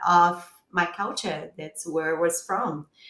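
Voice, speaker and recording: A woman with a Brazilian accent. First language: Portuguese. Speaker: podcast host and sommelier. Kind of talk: interview conversation.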